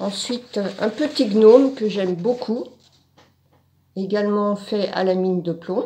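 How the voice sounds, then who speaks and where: A woman speaks at a very slow pace with long, frequent pauses. Her medium-pitched voice has a dark, mellow tone and ordinary pitch variation. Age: 60s. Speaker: art course student. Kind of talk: testimony. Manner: halting, with many fillers.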